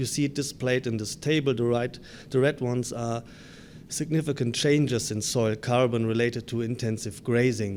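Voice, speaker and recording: A man with a German accent speaks at medium pitch. His pace is moderate and his intonation fairly even. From Germany. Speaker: grassland researcher. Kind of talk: conference presentation. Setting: conference session.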